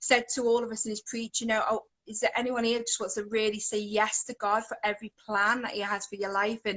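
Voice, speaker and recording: With a Scouse accent, a woman speaks at a fairly quick pace in a fairly high pitch with a bright, sharp tone. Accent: Liverpool (Scouse), acquired. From English Midlands, Coventry area. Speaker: worship singer. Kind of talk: testimony. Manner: rambling, hesitant.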